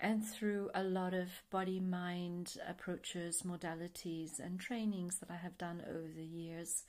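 Against a quiet background, a woman talks at medium pitch and a fairly slow pace with monotone, flat intonation. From Australia. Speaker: meditation teacher and therapist; meditation teacher. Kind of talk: self-introduction monologue. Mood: calm, reflective. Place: home room.

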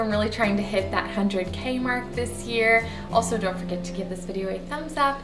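A woman talks with ordinary pitch variation. Clear music plays behind her. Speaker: home decor vlogger. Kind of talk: casual vlog chat. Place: home room.

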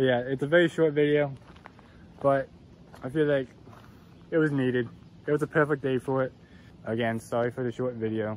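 A man at a fairly quick pace with fairly even intonation, a dry sound with no echo, and light background noise. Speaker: explorer vlogger. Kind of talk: casual vlog chat. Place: forest. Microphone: phone near.

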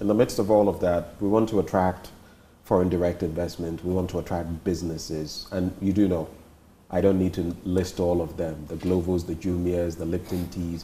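Light background noise sits under a man's very deep, low, somewhat breathy voice, which has a dark, mellow tone and monotone, flat intonation. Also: moderate pace. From Ghana. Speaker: TV interviewer. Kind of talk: interview. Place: home room.

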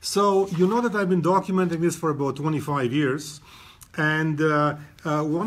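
A somewhat breathy man at a fairly high pitch and a moderate pace. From Romania. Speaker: photographer. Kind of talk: live presentation. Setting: gallery. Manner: halting.

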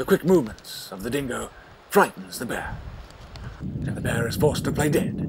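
Over noticeable background noise, a man with a fairly high pitch speaks with very wide pitch swings, big swings in loudness, and long, frequent pauses. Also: moderate pace. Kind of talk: scripted mock nature-documentary narration.

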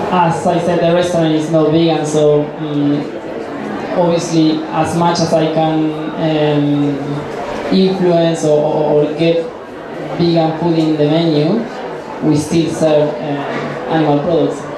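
Very slow speech with audible room echo and noticeable background noise. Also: man. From Argentina. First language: Spanish. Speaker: chef. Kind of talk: Q&A interview on stage. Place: hall.

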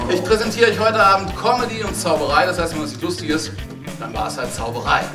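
Very fast speech with very wide pitch swings over clear music in the background. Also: man. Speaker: comedian and magician. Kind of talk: stand-up comedy show. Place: stage. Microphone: headset.

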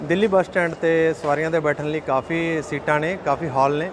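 Over noticeable background noise, a man speaks with monotone, flat intonation. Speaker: travel vlogger. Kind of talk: casual vlog chat. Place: station. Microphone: phone near.

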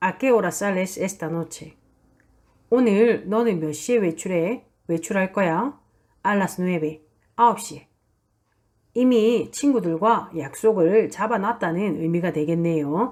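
A woman speaks at medium pitch and a very slow pace. She leaves long, frequent pauses in a very clean recording with a silent background. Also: ordinary pitch variation. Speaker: Spanish language teacher. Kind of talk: lecture. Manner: formal.

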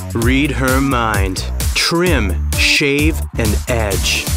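A man speaks over clear music in the background. The sound is dry, with no echo. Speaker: voice actor. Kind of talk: TV commercial read. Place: booth.

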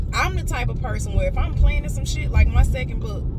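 A woman's voice sounds dry with no echo, set against loud background noise. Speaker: motivational vlogger. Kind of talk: casual vlog chat. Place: car. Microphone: phone near.

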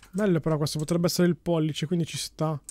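A man's raised, projected voice, dry sound with no echo, quiet background. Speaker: gaming youtuber. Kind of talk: casual gameplay commentary.

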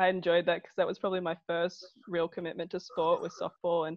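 In an Australian accent, a woman with a fairly low pitch speaks fairly quickly in a monotone, flat delivery, the sound dry with no echo and the background quiet. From Wagga Wagga, New South Wales, Australia. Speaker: professional football goalkeeper. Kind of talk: podcast interview answer. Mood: relaxed, friendly. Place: home room. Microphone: earbuds.

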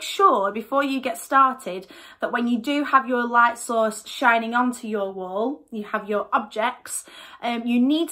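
Over music in the background, a woman with a high pitch talks at a very slow pace with lively intonation. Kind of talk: tutorial. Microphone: phone near.

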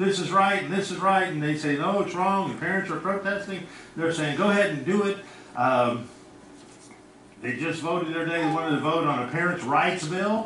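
A man with a high pitch and ordinary pitch variation at a fairly quick pace, audible room echo and light background noise behind him. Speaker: pastor. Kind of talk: sermon. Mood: earnest, sometimes indignant. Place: church.

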